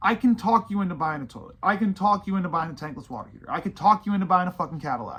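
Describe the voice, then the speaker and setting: Animated in tone, a man talks at a very fast pace with lively intonation. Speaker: plumbing business owner. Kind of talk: casual rant to camera. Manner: fast-talking; animated, emphatic.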